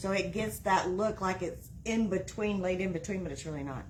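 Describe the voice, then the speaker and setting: A woman with an American accent talks at medium pitch with ordinary pitch variation, amid noticeable background noise and audible room echo. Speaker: wreath-making crafter. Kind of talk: live-stream craft tutorial. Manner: halting, stops mid-sentence.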